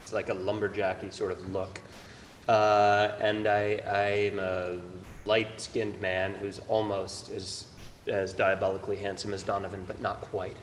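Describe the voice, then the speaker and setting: A man with an American accent speaks fairly slowly in a fairly low pitch. His intonation is monotone and flat, and the room echo is audible. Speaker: dancer and choreographer. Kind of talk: panel discussion.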